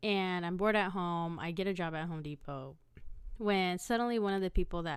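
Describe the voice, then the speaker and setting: Here is a woman with an unremarkable speaking voice at medium pitch. She keeps a moderate pace with ordinary pitch variation. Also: very clean recording, silent background. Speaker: podcast host. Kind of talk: casual storytelling monologue. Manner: conversational with frequent fillers and restarts.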